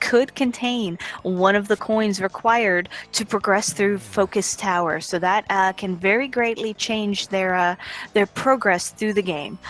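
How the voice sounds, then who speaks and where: With music in the background, a woman talks with ordinary pitch variation. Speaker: game stream commentator. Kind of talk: live commentary. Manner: loud.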